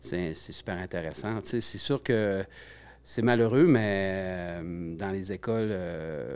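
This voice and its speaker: Against a silent background in a very clean recording, a man with a very deep, low pitch speaks at a very slow pace. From Gaspésie, Quebec. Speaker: musician. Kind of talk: interview. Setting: studio.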